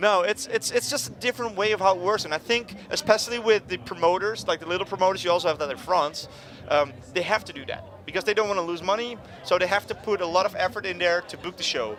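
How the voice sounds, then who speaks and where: A man's very fast speech at a high pitch, with noticeable background noise. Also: ordinary pitch variation. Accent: Dutch. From Netherlands. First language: Dutch. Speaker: punk musician. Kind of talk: casual interview. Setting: music festival. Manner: animated.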